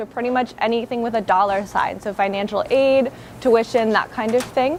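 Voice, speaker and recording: Noticeable background noise sits behind a woman's voice. She talks at a moderate pace with ordinary pitch variation. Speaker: campus tour guide. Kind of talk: guided campus tour. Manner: lowers voice inside the library.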